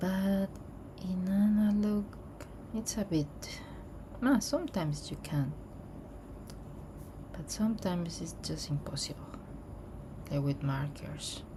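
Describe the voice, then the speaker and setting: A woman's medium-pitched voice in a Spanish accent, relaxed in tone, at a fairly slow pace with long, frequent pauses. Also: lively intonation. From Colombia. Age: 30s. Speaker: artist. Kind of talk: casual chat while drawing.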